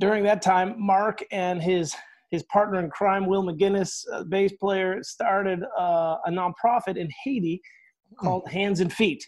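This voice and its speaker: The man's voice sits high in pitch and moves at a fairly slow pace. His intonation is fairly even, and the background is quiet. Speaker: pastor and podcast host. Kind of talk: casual interview. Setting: video call. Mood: warm, friendly. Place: home room. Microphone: earbuds.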